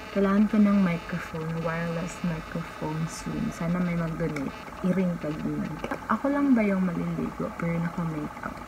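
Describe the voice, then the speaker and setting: A soft-spoken woman with a fairly low pitch and ordinary pitch variation. Room echo is audible, and there is noticeable background noise. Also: moderate pace. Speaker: travel vlogger. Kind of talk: casual vlog talk. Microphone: no external mic, voice quiet.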